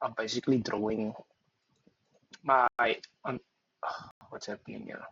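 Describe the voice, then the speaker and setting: A soft-spoken man. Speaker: trader. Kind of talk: screen-share tutorial. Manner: hesitant, many fillers.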